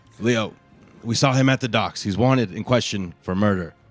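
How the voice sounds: With ordinary pitch variation, this is a natural reading voice.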